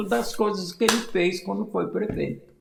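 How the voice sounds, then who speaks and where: There is noticeable background noise as a man talks at a fairly slow pace. His pitch swings very widely. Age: 80s+. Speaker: former mayor and local historian. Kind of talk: interview storytelling.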